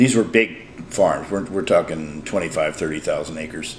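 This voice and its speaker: A man talks in an American accent. Audible room echo and noticeable background noise come through. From Southern California (Oceanside). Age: 70s. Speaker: retired businessman. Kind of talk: casual interview chat. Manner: halting, many hesitations; quiet.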